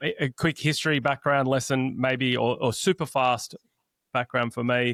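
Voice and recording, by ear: A man's medium-pitched voice with a fairly bright tone. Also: dry, close sound with no echo.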